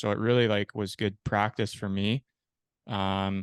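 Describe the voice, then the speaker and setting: A man with a Canadian accent speaks at a fairly low pitch. The sound is dry and close with no echo, over a quiet background. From Canada, Peterborough, Ontario. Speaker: ice hockey goalie and podcast host. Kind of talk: interview, telling own life story. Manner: casual, with many fillers.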